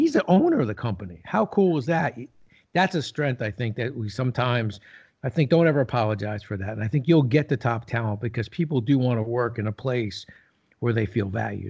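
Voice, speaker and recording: A man with an American accent speaks at a medium pitch, somewhat breathy, with lively intonation. His pace is fairly quick, and the background is quiet. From New Jersey. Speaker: retired business executive and leadership author. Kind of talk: interview.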